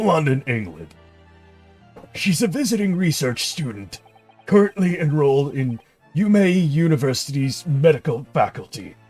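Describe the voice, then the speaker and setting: A man puts on a character voice, fairly high-pitched and full of lively intonation, at a moderate pace. Long, frequent pauses break up his speech while faint music plays in the background. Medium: game stream. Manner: reporting, hesitant.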